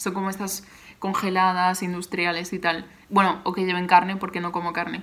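This is a woman speaking at a medium pitch. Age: 20s. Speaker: graphic designer and podcast host. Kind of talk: solo Q&A podcast, casual.

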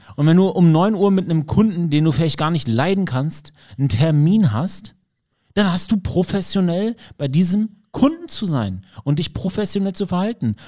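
At a moderate pace, a man with a high pitch and a dark, mellow tone speaks with lively intonation. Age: 30s. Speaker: podcast host, self-employed studio owner. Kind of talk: casual chat. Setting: studio.

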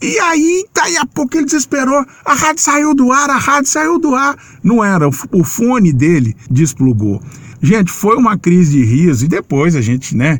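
A man speaks with a high pitch and very wide pitch swings. His loudness stays very even. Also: moderate pace. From Minas Gerais, Formiga. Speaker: sports radio journalist. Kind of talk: interview.

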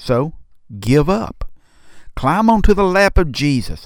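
A man with a Southern US accent, very slow delivery and a soothing, gentle tone, on a very clean recording with a silent background. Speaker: pastor. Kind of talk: devotional guided meditation, second-person invitation to rest in Jesus' presence. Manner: slow, soothing cadence with hushed repeated refrain; gentle, tender, pastoral reassurance.

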